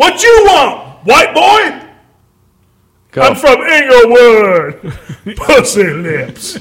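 Putting on a character voice, a man talks at a very slow pace in an extremely high pitch, his pitch swinging very widely, with long, frequent pauses. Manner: aggressive, confrontational.

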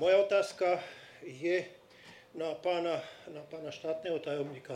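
A man speaks at a high pitch with fairly even intonation. Audible room echo and noticeable background noise surround his voice. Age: 60s. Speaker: audience member, former conscript. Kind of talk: audience question. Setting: stage with live audience.

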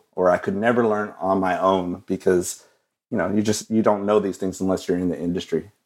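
A man's plain, everyday voice with an American accent, fairly low pitch and fairly even intonation, at a fairly quick pace on a very clean recording with a silent background. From West Texas (Odessa). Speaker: designer and illustrator. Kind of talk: casual interview.

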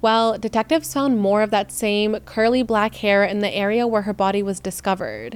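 Using an ordinary speaking voice, a woman at medium pitch talks at a fairly quick pace with hardly any pauses, very even loudness and fairly even intonation. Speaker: true crime podcaster. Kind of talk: true-crime narration, scripted storytelling. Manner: measured, serious narrative delivery; conversational, casual asides.

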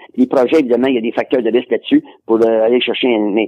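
Dry and close with no echo, a man's voice carries a dark, mellow tone. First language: English (speaking French). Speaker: sports researcher and collector. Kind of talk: interview. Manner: halting.

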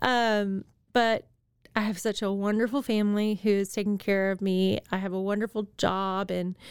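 A woman speaks in an ordinary speaking voice at a medium pitch with fairly even intonation. The recording is very clean, with a silent background. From Texas. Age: 40s. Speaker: cancer patient. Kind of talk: testimony. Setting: studio.

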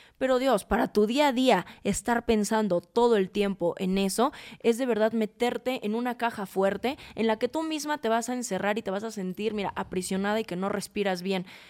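A woman's normal speaking voice, fairly high in pitch with ordinary variation, at a moderate pace with hardly any pauses, in a dry, close sound with no echo. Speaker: fashion stylist and image consultant. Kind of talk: casual chat.

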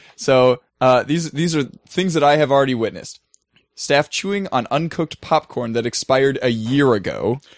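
In a dry, close recording with no echo, a man talks at a moderate pace with ordinary pitch variation. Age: 20s. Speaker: podcast co-host and camp fitness director. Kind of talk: casual chat.

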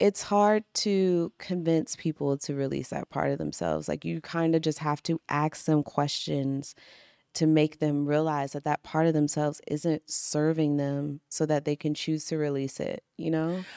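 A woman's very deep, low voice, dark and mellow, at a fairly slow pace with fairly even intonation, in a dry, close sound with no echo. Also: very clean recording, silent background. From Washington DC area. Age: 30s. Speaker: actress and life coach. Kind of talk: casual interview chat. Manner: soft-spoken.

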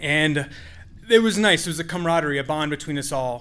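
Audible room echo surrounds a man's voice. He has a fairly high pitch with ordinary pitch variation. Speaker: storyteller. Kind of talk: live storytelling. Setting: stage with audience.

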